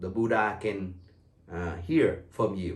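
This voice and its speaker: Room echo is audible as a man speaks at a fairly slow pace. He has a Vietnamese accent. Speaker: tour guide. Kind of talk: welcome talk to tour group. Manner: halting, with fillers.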